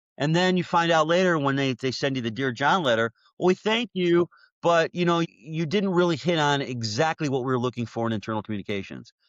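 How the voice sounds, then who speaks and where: A man with a normal speaking voice and a fairly high pitch talks fairly quickly, his intonation lively. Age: 60s. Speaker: job seeker, web content specialist. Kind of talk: casual interview conversation.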